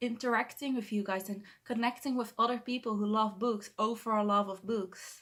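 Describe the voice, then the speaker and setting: A woman's fairly high voice in a Dutch accent, fairly quick and fairly even in intonation. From Netherlands. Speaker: book vlogger. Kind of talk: vlog monologue to camera. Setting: bedroom, talking to camera. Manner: halting, self-correcting.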